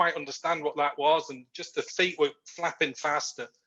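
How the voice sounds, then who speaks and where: This man's voice has a bright, sharp tone and a fairly high pitch, and he talks at a moderate pace. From Yorkshire, northern England. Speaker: research manager. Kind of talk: interview on a video call.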